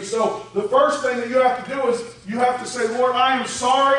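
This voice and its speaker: Here a man speaks at a moderate pace with an extremely high pitch. Audible room echo and noticeable background noise surround him. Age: 40s. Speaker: pastor. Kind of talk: sermon.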